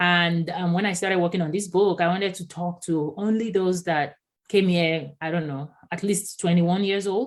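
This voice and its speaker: A woman speaks with a Yoruba accent in a fairly low voice. Her pace is moderate and her intonation fairly even. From Nigeria. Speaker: diversity and inclusion consultant. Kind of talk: podcast interview.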